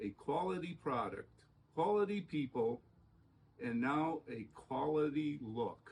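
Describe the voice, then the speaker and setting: A man's somewhat breathy, fairly high voice, very slow in pace and lively in intonation. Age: 70s. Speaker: homeowner, DIY customer. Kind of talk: customer video testimonial.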